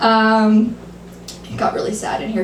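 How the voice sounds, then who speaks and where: A woman talks at a moderate pace. Noticeable background noise and audible room echo surround her. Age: 30s. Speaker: stand-up comedian. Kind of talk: stand-up. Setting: stage with audience.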